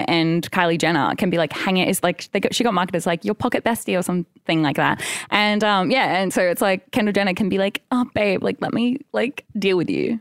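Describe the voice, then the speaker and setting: This woman has an Australian accent and a medium pitch with ordinary pitch variation. She talks at a fairly quick pace with hardly any pauses and very even loudness. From Australia, Sunshine Coast. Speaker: artist and technologist. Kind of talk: casual chat.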